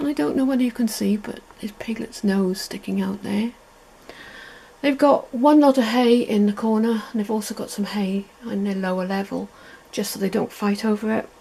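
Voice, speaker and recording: A woman speaks at a moderate pace with a fairly high pitch. Noticeable background noise runs underneath. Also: ordinary pitch variation. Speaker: pet video creator. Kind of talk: guided tour video. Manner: soft-spoken; casual with fillers.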